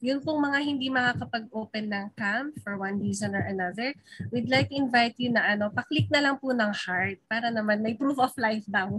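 A woman speaks fairly quickly, her pitch varying in an ordinary way, with a quiet background behind her. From Philippines. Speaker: webinar emcee. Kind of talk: event emceeing. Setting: video call. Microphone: video call.

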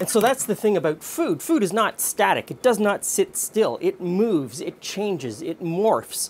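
A man speaks at a fairly slow pace in a high pitch. His voice makes big pitch swings.

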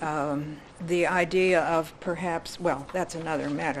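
A woman's fairly low voice with ordinary pitch variation, over noticeable background noise. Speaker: county commissioner. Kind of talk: public meeting discussion. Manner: usually loud.

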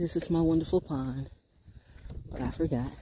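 A woman's low-pitched voice, dark and mellow in tone, with a slightly husky edge. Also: ordinary pitch variation, moderate pace.

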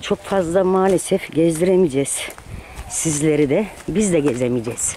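The talking moves at a fairly slow pace, the sound is dry with no echo, and there is noticeable background noise. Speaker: vlogger. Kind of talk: casual vlog chat. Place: street. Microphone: phone near.

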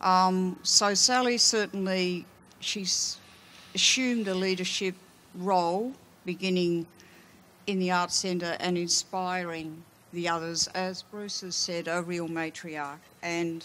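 A woman in an Australian accent speaks at a very slow pace with long, frequent pauses and fairly even intonation. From Australia, Melbourne. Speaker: art historian and curator; panelist. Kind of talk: panel discussion. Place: stage. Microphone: handheld.

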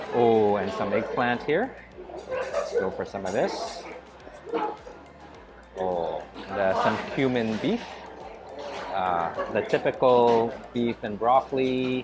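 Over crowd noise in the background, a man speaks at a very slow pace. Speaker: food vlogger. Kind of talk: casual vlog commentary. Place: hall. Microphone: lapel.

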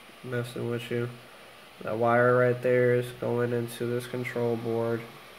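A man speaks with monotone, flat intonation. Noticeable background noise is present. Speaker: video maker. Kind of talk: tutorial. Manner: casual, filler words.

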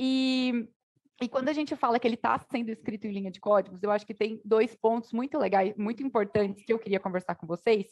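A woman talks at a fairly quick pace. Her voice is fairly high, with ordinary pitch variation. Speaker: panel moderator, tech nonprofit director; panel moderator. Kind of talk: panel discussion. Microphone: video call.

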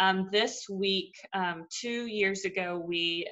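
A woman speaks in a bright, sharp tone with an American accent. Her intonation is flat and monotone against a quiet background. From Arkansas, US. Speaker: sports association administrator; interviewee. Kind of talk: casual interview. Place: home room. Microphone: video call.

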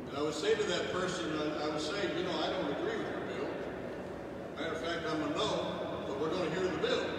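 Long, frequent pauses break up the speech, which carries audible room echo over loud background noise. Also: man, fairly quick pace. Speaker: retired state senator. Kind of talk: rally speech. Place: hall. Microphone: camera far.

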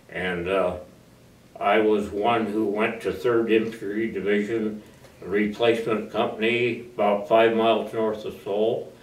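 Someone with an American accent speaks at a fairly slow pace in a monotone, flat intonation, with audible room echo. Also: man, fairly low pitch for a man. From US Midwest (northeastern Iowa). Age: 80s+. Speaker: war veteran. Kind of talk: oral history interview. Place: office.

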